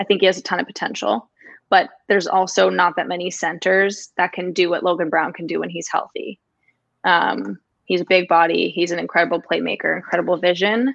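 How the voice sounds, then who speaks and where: Speaking at a fairly quick pace, a woman with a fairly low pitch and ordinary pitch variation shows some vocal fry. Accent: Canadian. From Toronto, Canada. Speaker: hockey journalist. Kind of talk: casual interview.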